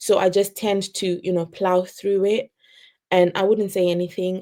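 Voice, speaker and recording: A woman speaks quietly at a medium pitch with a non-native accent. Her tone is dark and mellow. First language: not English. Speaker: early career teacher. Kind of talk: interview storytelling. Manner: naturally quiet.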